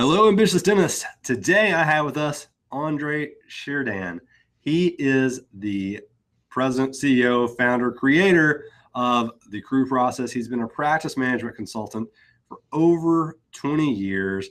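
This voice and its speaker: In a very clean recording with a silent background, a man with an Arkansas accent talks at a fairly slow pace and a medium pitch, his intonation lively. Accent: Arkansas drawl. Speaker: podcast host, accountant. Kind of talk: podcast interview.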